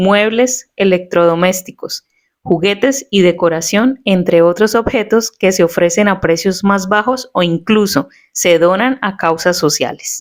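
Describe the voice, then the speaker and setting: A woman with an unremarkable speaking voice talks at medium pitch and a fairly slow pace, with ordinary pitch variation. Her loudness is very even, and the recording is very clean with a silent background. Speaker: podcast host, journalist. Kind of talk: podcast narration.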